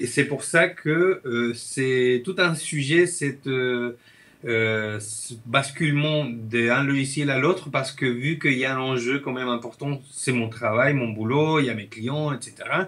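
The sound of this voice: A man with a Chilean accent speaks at medium pitch in a fairly bright tone. He moves at a fairly slow pace with ordinary pitch variation.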